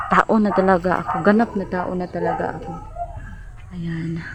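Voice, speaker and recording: Noticeable noise runs behind the voice. Its intonation is fairly even. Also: woman. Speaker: rural vlogger. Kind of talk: casual vlog talk to viewers. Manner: halting, many fillers.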